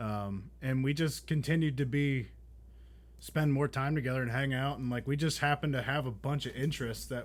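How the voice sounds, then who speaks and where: This man speaks at a moderate pace with fairly even intonation and a medium pitch. His is an unremarkable speaking voice. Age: 20s. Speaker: podcast co-host, car enthusiast. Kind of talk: casual chat.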